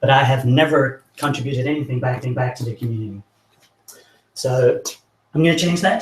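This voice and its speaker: Somewhat breathy, a man's medium-pitched voice carries fairly even intonation. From not American. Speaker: software engineer, meetup speaker. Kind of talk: tech talk presentation. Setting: meetup with live audience. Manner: halting, many repeated words.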